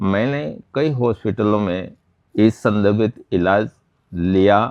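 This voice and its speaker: The man's voice sits at a fairly low pitch. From Udaipur district, Rajasthan, India. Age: 60s. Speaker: patient. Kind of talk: testimony. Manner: halting.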